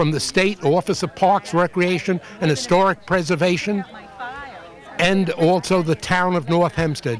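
With crowd noise in the background, a man speaks fairly slowly in a high voice. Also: dry sound with no echo. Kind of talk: interview answer. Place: garden. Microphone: handheld.

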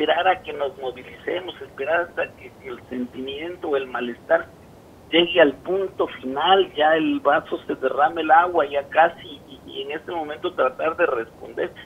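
Loudness swings widely as a man talks at a moderate pace with ordinary pitch variation. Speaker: remote guest. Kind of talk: interview answer. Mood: earnest, complaining. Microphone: video call.

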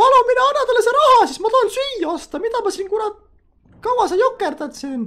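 A put-on character voice from a man, pitched extremely high. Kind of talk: put-on female character voice, comic roleplay. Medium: game stream. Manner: indignant, loud, offended and pushy; sweet-talking and flirtatious when begging for money.

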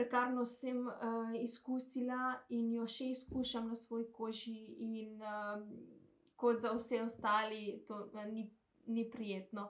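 Against a quiet background, a woman with a Macedonian accent speaks at a fairly high pitch in a flat monotone. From North Macedonia, Skopje; North Macedonia. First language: Macedonian (speaking Slovenian). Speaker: translator. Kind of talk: testimony. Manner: halting. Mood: calm, somewhat hesitant. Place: home room. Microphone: phone near.

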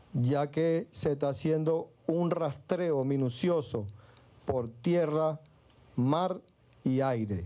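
Speaking at a very slow pace, a man keeps his loudness very even. His tone is dark and mellow, with ordinary pitch variation. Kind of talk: official press statement. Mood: formal and serious. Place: hall. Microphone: podium.

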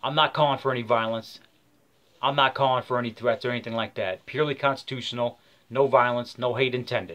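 With an American accent, a man talks at a very fast pace using fairly even intonation. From Michigan, US. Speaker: vlogger. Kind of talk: rally speech, angry rant to camera, urging an open carry protest. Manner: fiery, preachy, hard-hitting; emphatic, opinionated, rambling. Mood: angry, agitated. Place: home room. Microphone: webcam.

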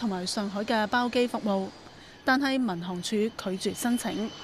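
This woman speaks with a Hong Kong accent. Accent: Hong Kong Cantonese. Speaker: news reporter. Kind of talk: news report narration.

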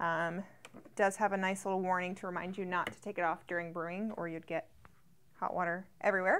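Her loudness swings widely while her intonation stays flat and monotone, as a woman speaks at a fairly quick pace over light background noise. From Louisiana. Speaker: product reviewer. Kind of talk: product review tutorial. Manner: casual, many filler words. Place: studio. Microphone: lapel.

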